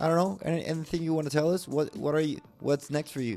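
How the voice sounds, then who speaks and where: The speaker has a Mexican accent. Music plays in the background. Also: man. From Mexico, Valladolid. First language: Spanish. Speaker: podcast host. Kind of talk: podcast interview.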